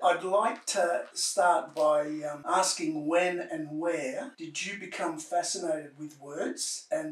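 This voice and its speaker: A high-pitched man at a very slow pace, fairly even in intonation, with noticeable background noise. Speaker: interviewer. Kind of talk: interview questions.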